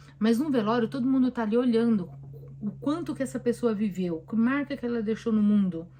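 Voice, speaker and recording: A woman's fairly high, lively voice at a fairly quick pace, with noticeable background noise. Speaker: therapist. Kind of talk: live stream Q&A talk. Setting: live stream on camera. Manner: conversational, with hesitations.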